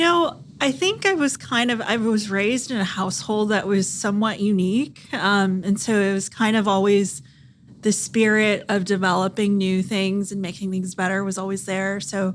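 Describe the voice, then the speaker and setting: A woman speaks at a moderate pace with a Californian accent. Her pitch sits in the medium range and varies in an ordinary way. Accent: General American, Californian. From US West, Central California. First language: Thai. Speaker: startup founder and physician. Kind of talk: podcast interview.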